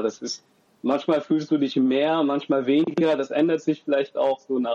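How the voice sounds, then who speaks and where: Fairly high pitch marks this man's speech. The tone is dark and mellow. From Germany. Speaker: university student and father. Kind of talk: podcast interview.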